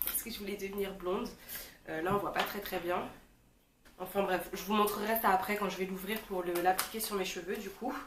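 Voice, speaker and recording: Fairly quick but broken by long, frequent pauses, the speech is monotone and flat, with audible room echo and noticeable background noise. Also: woman, medium pitch for a woman. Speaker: beauty vlogger. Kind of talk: casual product review vlog. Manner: casual, hesitant with fillers.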